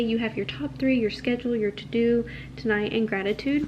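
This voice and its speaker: Spoken at a moderate pace with lively intonation, the voice comes through over noticeable background noise. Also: woman. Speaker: lifestyle vlogger. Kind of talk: product review. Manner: soft-spoken; casual.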